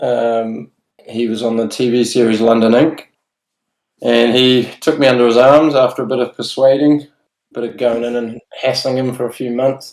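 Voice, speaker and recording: In a New Zealand accent, a man talks at a medium pitch with fairly even intonation. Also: moderate pace. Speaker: tattoo artist. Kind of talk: casual chat.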